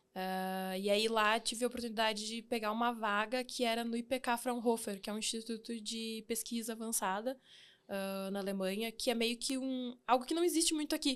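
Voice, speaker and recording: A woman with an ordinary speaking voice talks at a moderate pace in a fairly high pitch with ordinary pitch variation. The recording is very clean, with a silent background. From southern Brazil (Rio Grande do Sul, Santa Rosa). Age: 30s. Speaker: engineer and fintech founder. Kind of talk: podcast interview.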